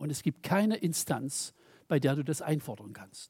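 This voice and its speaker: Recorded very cleanly with a silent background, a man with a plain, everyday voice speaks at a fairly high pitch with lively intonation. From East Germany. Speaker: preacher. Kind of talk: sermon.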